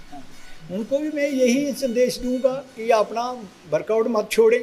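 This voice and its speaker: This man speaks at an extremely high pitch. His pitch varies in an ordinary way. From Udhampur, Jammu and Kashmir, India. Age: 70s. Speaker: gym owner, army veteran. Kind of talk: interview answer.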